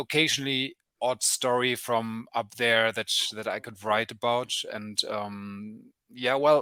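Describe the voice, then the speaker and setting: A man with a German accent speaks at a medium pitch, his intonation fairly even and his tone bright and sharp. The recording is very clean with a silent background, and the sound is dry and close with no echo. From Germany. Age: 30s. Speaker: journalist. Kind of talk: interview. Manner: halting, many fillers.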